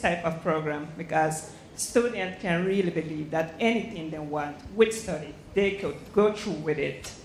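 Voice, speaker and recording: With a Spanish accent, a woman speaks at a fairly low pitch and a moderate pace, with ordinary pitch variation and audible room echo. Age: young. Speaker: embassy diplomat. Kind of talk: audience comment at lecture. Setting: lecture theatre. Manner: halting.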